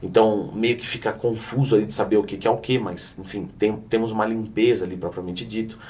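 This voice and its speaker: A man's voice comes across somewhat breathy. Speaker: fitness coach and youtuber. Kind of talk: educational explainer. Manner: fast.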